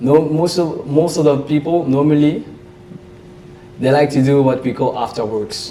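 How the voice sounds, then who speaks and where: Amid noticeable background noise, a man with a French accent speaks at a moderate pace in a fairly high pitch, with fairly even intonation and long, frequent pauses. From Belgium, French-speaking. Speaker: trader and investor. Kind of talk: interview. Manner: halting.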